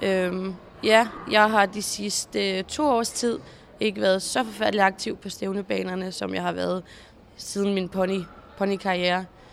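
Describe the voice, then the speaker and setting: Delivery is fairly slow. The intonation holds fairly even. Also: woman, medium pitch for a woman. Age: 20s. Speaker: show jumping rider. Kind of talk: interview. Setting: horse stables.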